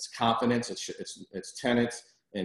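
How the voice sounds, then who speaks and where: A man speaks here. Room echo is audible throughout. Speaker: commercial real estate advisor. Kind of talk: webinar presentation. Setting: video conference. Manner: fast.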